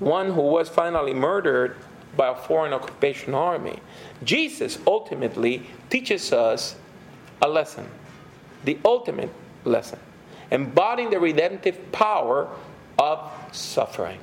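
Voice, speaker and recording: A man speaks at a high pitch with lively intonation, at a moderate pace. Long, frequent pauses break up his speech, and background noise is noticeable. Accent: Puerto Rican. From Puerto Rico. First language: Spanish. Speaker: pastor and theologian. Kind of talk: lecture.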